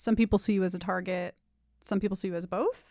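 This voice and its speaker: In an American accent, a woman speaks with a dark, mellow tone, vocal fry and fairly even intonation, in a dry, close sound with no echo on a very clean recording with a silent background. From Los Angeles, San Fernando Valley. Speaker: podcast host and tarot reader. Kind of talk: tarot reading conversation.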